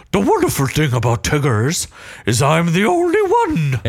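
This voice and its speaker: A put-on character voice speaks at a middle pitch and a moderate pace. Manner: bouncy, cheerful.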